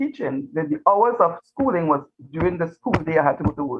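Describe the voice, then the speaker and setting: A woman speaks with a Trinidadian accent. Her pitch swings very widely. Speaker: retired teacher. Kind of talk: interview.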